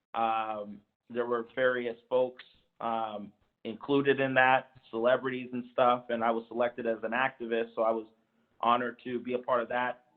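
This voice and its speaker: Here a man of medium pitch speaks at a moderate pace. His intonation is monotone and flat. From San Diego, California. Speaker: commission member, activist. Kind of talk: self-introduction at public meeting.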